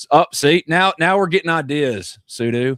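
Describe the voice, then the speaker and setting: A man's voice has a dry, close sound with no echo, recorded very cleanly against a silent background. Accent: Mississippi. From North Mississippi, US South. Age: 40s. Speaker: sports podcast host. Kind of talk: casual chat. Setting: live stream with chat.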